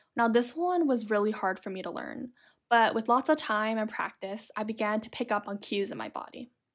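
On a very clean recording with a silent background, a woman with an unremarkable speaking voice talks at a fairly quick pace, her fairly high pitch showing ordinary pitch variation. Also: big swings in loudness. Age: 20s. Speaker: podcaster. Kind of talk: solo monologue.

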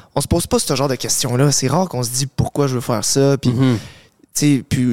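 A man talks at a medium pitch. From Montreal, Quebec. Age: 20s. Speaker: fitness coach, content creator. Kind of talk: casual interview.

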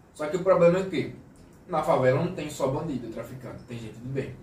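A man speaks at a fairly high pitch with ordinary pitch variation, and audible room echo surrounds his voice. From Brazil, Aracaju (Sergipe, Northeast). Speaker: podcast co-host. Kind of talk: casual chat.

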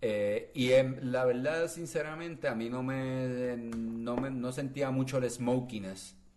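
Speaking very slowly with hardly any pauses, a man at medium pitch keeps his intonation fairly even over noticeable background noise. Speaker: podcast co-host. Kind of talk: casual chat.

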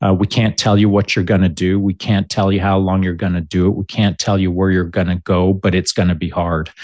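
A man with a Canadian accent, very deep and low in pitch, monotone and flat in intonation, over a quiet background. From Canada (Alberta), born in Barnsley, Yorkshire. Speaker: military veteran. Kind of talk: casual interview.

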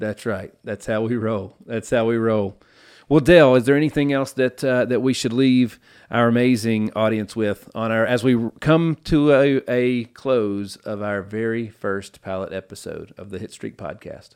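A man with a Tennessee accent talks at a medium pitch and a moderate pace, with ordinary pitch variation. His loudness swings widely in a very clean recording with a silent background. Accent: Southern US (Tennessee). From US South, Nashville, Tennessee. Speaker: podcast host. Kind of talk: casual interview chat. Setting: studio. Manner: animated.

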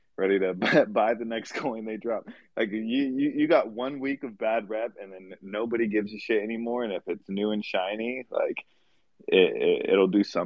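A man with a normal speaking voice at a medium pitch. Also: fairly even intonation, moderate pace. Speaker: NFT community member. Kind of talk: casual chat. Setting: live audio room online.

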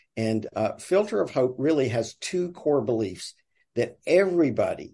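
In a Southern US accent, a man talks at a moderate pace with lively intonation. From US South. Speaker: nonprofit sales director. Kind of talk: casual interview chat.

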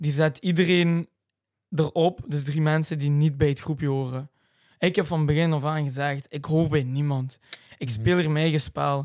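Over a silent background in a very clean recording, a man with an ordinary speaking voice talks at a moderate pace and fairly high pitch, his intonation fairly even. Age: 20s. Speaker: reality TV contestant and racing driver. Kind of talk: casual chat.

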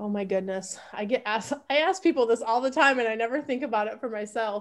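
A woman with a normal speaking voice and ordinary pitch variation. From US Midwest, Grand Rapids, Michigan. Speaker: travel industry consultant. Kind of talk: podcast interview.

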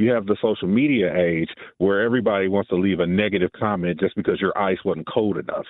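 Using an ordinary speaking voice, a man talks at a fairly quick pace at a fairly low pitch, with ordinary pitch variation. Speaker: caller. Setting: phone call.

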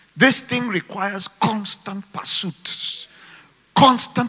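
A man's high-pitched voice in an animated tone. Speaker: preacher. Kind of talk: sermon to a live church congregation, with call-and-response. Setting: church with congregation and online viewers. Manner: fervent, animated, rising in intensity, exhorting the crowd; rhythmic, emphatic, punchy short phrases.

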